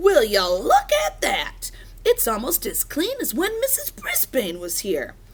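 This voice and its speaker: Someone speaks at a fairly slow pace in a put-on character voice over light background noise. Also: woman. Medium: read story. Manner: jovial, good-humored.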